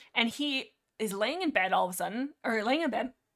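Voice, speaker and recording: A woman does a put-on character voice that is hoarse and fairly high in pitch, with lively intonation and a fairly quick pace. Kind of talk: casual storytelling.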